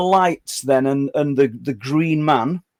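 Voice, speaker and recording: In a northern English accent, a man speaks at a very slow pace, the sound dry and close with no echo. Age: 60s. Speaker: podcast host. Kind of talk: interview. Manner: halting, stammering.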